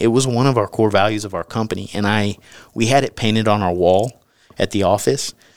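This man's pitch is fairly low for a man. He talks at a fairly quick pace with fairly even intonation. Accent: Texan. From US South. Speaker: author and former company CEO. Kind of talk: interview testimony.

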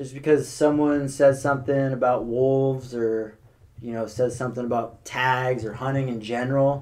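In a room with audible echo, a man with an American accent speaks at a moderate pace and medium pitch, his intonation monotone and flat. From California, Sonoma County. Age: 20s. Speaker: hunter. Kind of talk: casual chat.

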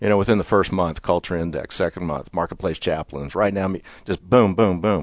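Against a quiet background, a man with a very deep, low pitch talks at a very fast pace with fairly even intonation. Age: 60s. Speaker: company CEO. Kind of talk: interview.

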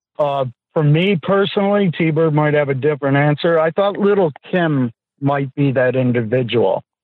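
With an American accent, a man talks in an unremarkable speaking voice at a fairly high pitch and a moderate pace, with ordinary pitch variation and very even loudness. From US East Coast. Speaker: reality TV contestant. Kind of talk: casual interview.

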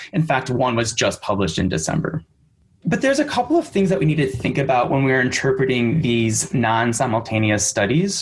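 A man's plain, everyday voice with an American accent, medium in pitch, at a fairly quick pace, with lively intonation and very even loudness. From US Midwest, Michigan. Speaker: speech-language pathologist and researcher. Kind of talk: interview about clinical research. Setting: remote recording at parents' home.

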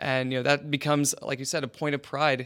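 A plain, everyday voice belongs to a man with an American accent. He speaks fairly high in pitch at a fairly quick pace. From West Virginia. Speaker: urban planner. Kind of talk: interview.

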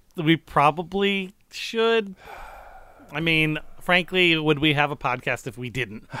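On a very clean recording with a silent background, a man with an American accent speaks very slowly in a fairly high, bright, sharp voice with lively intonation. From central New York. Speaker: comedy podcast co-host. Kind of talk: casual chat.

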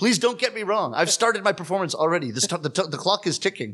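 A man's high, bright, sharp voice at a very fast pace, with very wide pitch swings against a quiet background. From Canada. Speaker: rakugo comedian. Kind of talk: interview conversation. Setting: studio.

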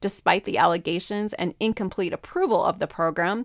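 Dry and close with no echo, the clip has a woman with a plain, everyday voice talking at a moderate pace, medium pitch and ordinary pitch variation. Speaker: news reader. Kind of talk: news reading. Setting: studio.

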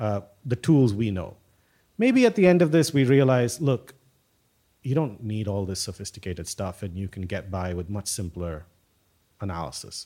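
A man's fairly low, dark, mellow voice at a moderate pace, with very wide pitch swings, big swings in loudness and long, frequent pauses, on a very clean recording with a silent background. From South India (Tamil Nadu), also Rajasthan. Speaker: applied mathematician. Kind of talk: casual interview. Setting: in person at an institute in Bangalore. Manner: halting, many fillers and repeats.

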